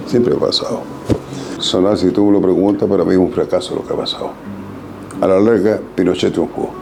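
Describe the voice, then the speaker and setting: Over music in the background and audible room echo, a man talks at a fairly quick pace with long, frequent pauses. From Chile, Antofagasta. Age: 80s+. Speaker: photographer and former political activist. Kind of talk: interview testimony. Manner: emphatic.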